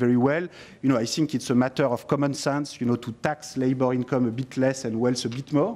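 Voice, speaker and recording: A man with a French accent has a dark, mellow tone and medium pitch. He talks at a fairly quick pace with fairly even intonation. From France. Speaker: economist and author. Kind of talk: parliamentary committee discussion. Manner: hesitant, many fillers.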